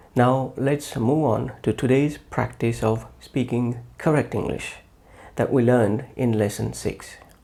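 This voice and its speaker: Dark, mellow male voice at medium pitch, with vocal fry and a fairly slow pace. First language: not English. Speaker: English teacher. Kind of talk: tutorial. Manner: formal.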